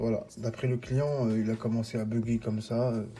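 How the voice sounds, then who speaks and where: Noticeable background noise surrounds a man speaking at a moderate pace. His intonation is monotone and flat. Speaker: phone repair technician. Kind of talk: tutorial. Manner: hesitant, many fillers.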